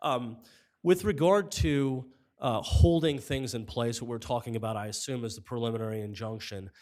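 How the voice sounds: A man's medium-pitched, slightly mellow voice at a moderate pace with ordinary pitch variation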